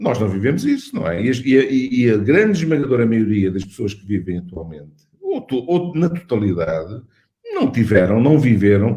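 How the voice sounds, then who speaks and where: A man with a European Portuguese accent speaks at a moderate pace and medium pitch, his dark, mellow, somewhat breathy voice making very wide pitch swings. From Portugal. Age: 60s. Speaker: cardiologist and medical school dean. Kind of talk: interview. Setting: online webinar. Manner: halting, many repetitions and fillers.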